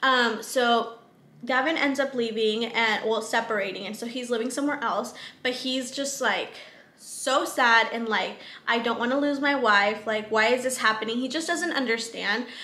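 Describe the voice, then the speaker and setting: Speaking at a moderate pace with a Southern California accent, a woman keeps a fairly high pitch and fairly even intonation. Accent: valley girl. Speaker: book reviewer. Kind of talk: casual talk to camera. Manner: casual, frequent filler words.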